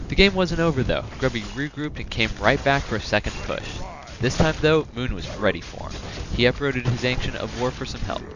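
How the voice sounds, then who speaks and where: Music plays in the background. A man speaks at a medium pitch with ordinary pitch variation. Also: fairly quick pace, big swings in loudness. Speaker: gaming video commentator. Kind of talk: scripted narration. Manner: stuttering.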